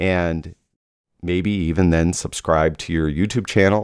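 A man's very deep, low voice at a moderate pace, fairly even in intonation, on a very clean recording with a silent background. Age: 50s. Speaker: photography podcast host. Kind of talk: solo podcast monologue. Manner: casual, with frequent fillers.

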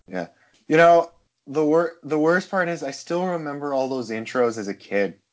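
His voice sits fairly high for a man. He keeps a moderate speed. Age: 20s. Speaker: podcast co-host, actor. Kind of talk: casual chat. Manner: halting.

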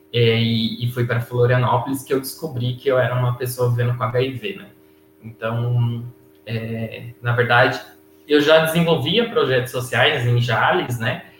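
Noticeable background noise accompanies a man at a medium pitch. He speaks at a fairly slow pace with fairly even intonation. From Brazil, interior of São Paulo state. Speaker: HIV youth activist. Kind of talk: casual chat.

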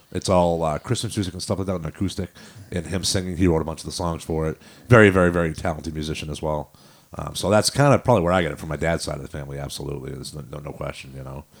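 At a very fast pace, the voice shows vocal fry, ordinary pitch variation and big swings in loudness. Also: man, very deep, low pitch for a man. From New Hampshire, Manchester. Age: 50. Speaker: rock band singer and drummer. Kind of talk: casual chat.

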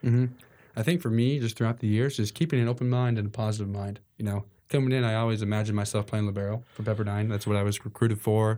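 In a very clean recording with a silent background, a man with an American accent talks very fast in a fairly low, dark, mellow voice with fairly even intonation. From New York. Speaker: college volleyball player. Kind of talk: casual interview. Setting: podcast studio, wearing masks.

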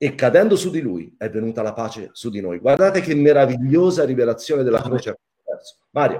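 A man at a medium pitch, dark and mellow in tone, with very wide pitch swings and a fairly quick pace. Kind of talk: religious Q&A discussion, casual teaching. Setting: video call.

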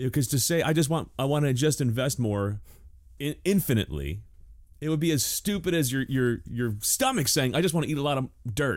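This man has an unremarkable speaking voice, fairly high in pitch, with lively intonation. He talks at a fairly quick pace, and the recording is very clean with a silent background. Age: 40s. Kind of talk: casual chat.

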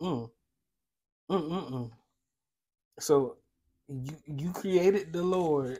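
Very slow speech comes from a man with a fairly high pitch. He leaves long, frequent pauses. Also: ordinary pitch variation, big swings in loudness. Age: 20s. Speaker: podcast co-host. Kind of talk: casual chat.

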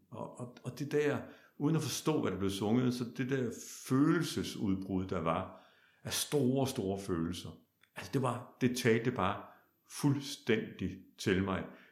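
The speech moves at a very slow pace with lively intonation. Audible room echo surrounds it. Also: man. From Denmark, Kolding (southern Jutland). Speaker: opera singer. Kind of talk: interview conversation.

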